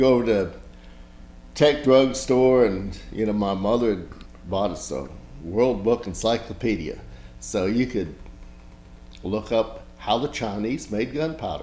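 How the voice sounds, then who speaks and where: Someone with an American accent speaks at a fairly slow pace, with ordinary pitch variation, long, frequent pauses and audible room echo. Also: man, medium pitch for a man. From Blacksburg, Virginia. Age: 60s. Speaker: local historian and photographer. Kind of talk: oral history interview. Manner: casual, rambling with self-corrections.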